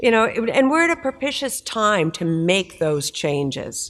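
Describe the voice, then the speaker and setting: A woman with an American accent speaks at a fairly slow pace in a fairly high pitch. Her pitch swings very widely, and the recording is very clean with a silent background. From United States. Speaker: maritime industry association executive. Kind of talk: conference panel discussion.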